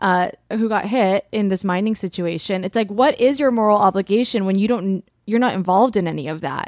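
The speaker uses a plain, everyday voice with an American accent, moving at a fairly quick pace with hardly any pauses and ordinary pitch variation. The recording is very clean with a silent background, and the sound is dry and close with no echo. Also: woman, medium pitch for a woman. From Long Beach, California. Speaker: podcast co-host. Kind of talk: casual chat.

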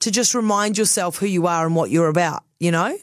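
A woman speaks with a New Zealand accent at a medium pitch. Her pace is fairly quick. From New Zealand, Christchurch. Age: 30s. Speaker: radio host. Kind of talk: casual chat.

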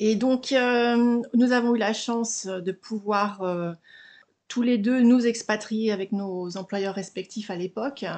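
Speaking at a very slow pace, a woman uses fairly even intonation and a fairly high pitch. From Haute-Savoie, France. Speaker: small business founder. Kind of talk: interview. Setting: home recording, window open.

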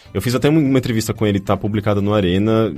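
A man talks at a very fast pace. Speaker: podcast host. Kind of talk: casual chat.

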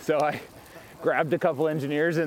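Someone with an American accent speaks at a very fast pace. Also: man. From US South (south Mississippi). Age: 40s. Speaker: tech company founder. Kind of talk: casual interview. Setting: outdoors, riding a bike. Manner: hesitant, many fillers.

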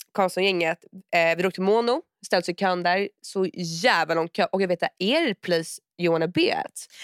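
A woman uses a normal speaking voice at medium pitch with ordinary pitch variation. She talks at a moderate pace, and the sound is dry and close with no echo. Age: 20s. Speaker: podcast co-host. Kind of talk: casual chat.

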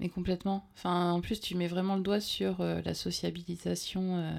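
A woman's fairly low, dark and mellow voice at a fairly slow pace, on a very clean recording with a silent background. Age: 40s. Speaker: radio show co-host. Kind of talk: casual chat; reading aloud. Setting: studio.

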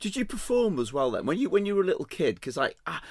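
Speaking at a very fast pace, a man lets his pitch swing very widely. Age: 50s. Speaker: podcast host and chef. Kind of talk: casual interview.

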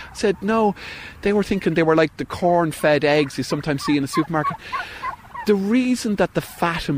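A man with an Irish accent, fairly high pitch and lively intonation over noticeable background noise. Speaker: farmer. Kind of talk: recorded interview. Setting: outdoors on a farm.

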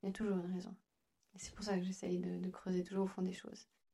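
A woman talks at a very fast pace at a medium pitch. Her voice is somewhat breathy with a dark, mellow tone. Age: 30s. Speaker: nail technician. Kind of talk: interview.

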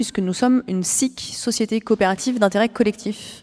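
In a dry, close sound with no echo, a woman uses an ordinary speaking voice at a fairly high pitch, a moderate pace and fairly even intonation. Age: 40s. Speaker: cooperative executive. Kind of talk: interview. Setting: live forum event.

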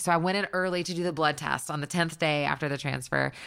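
The voice has a bright, sharp tone with vocal fry and lively intonation. It carries an American accent. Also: woman. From US South. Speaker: songwriter. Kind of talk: casual chat. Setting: at home.

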